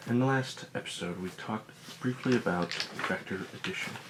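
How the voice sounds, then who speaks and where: A man with a fairly low pitch speaks with lively intonation. Noticeable background noise is present. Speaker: physics teacher. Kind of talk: ASMR educational lesson, soft spoken. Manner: soft-spoken.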